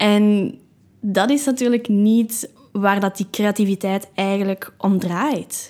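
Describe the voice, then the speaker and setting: In a Flemish accent, the speaker goes at a very slow pace with very even loudness and fairly even intonation, on a very clean recording with a silent background. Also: woman, medium pitch for a woman. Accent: Flemish Dutch. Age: 20s. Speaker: meditation podcaster. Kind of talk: casual monologue.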